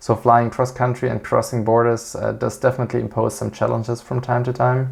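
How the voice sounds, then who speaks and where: Talking at a fairly quick pace, a man with a German accent keeps to a medium pitch. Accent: non-native English, German-speaking. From Switzerland. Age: 30s. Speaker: airline pilot and aviation YouTuber. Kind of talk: channel introduction monologue. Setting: at home. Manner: hesitant, frequent filler 'uh'.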